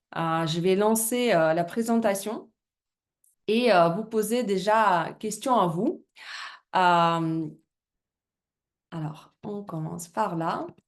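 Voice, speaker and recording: Against a quiet background, a woman with a Russian accent and medium pitch speaks at a very slow pace, leaving long, frequent pauses. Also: ordinary pitch variation. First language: Russian (speaking French). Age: 30s. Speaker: business presenter, former fitness coach. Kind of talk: business presentation. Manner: halting, many hesitations.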